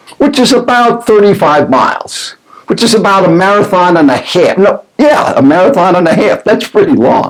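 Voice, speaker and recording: An energetic man with an American accent speaks at a high pitch and a moderate pace, his intonation lively and his loudness very even. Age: 70s. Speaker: professional speaker. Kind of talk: motivational talk to camera.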